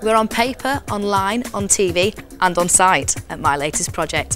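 Over music in the background, a woman speaks at a medium pitch and a moderate pace with lively intonation. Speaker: TV presenter. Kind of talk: TV property show presenting.

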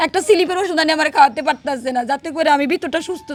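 The speaker uses ordinary pitch variation, with noticeable background noise behind the voice. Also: woman. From Bangladesh, Noakhali (Hatiya). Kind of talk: emotional personal testimony.

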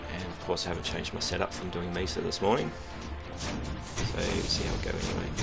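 The speaker talks at a fairly quick pace. Loud music plays in the background. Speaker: mobile game player. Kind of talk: casual gameplay commentary. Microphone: headset.

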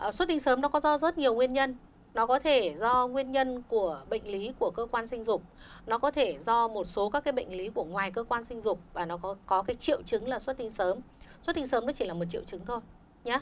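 Over light background noise, a woman speaks in a normal speaking voice, fairly quick and fairly high-pitched, with lively intonation. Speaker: doctor. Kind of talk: live radio call-in advice. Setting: radio studio. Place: studio.

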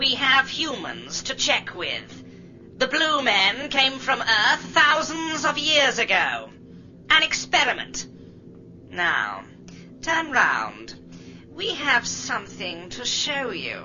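A female-sounding, put-on character voice pitched high speaks at a very slow pace. Light background noise sits behind it. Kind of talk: radio drama dialogue. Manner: cold, emotionless.

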